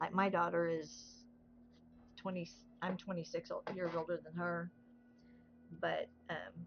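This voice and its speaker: Long, frequent pauses from a woman with a Southern US accent. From US South. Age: 60s. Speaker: craft livestreamer. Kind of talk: casual chat. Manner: relaxed.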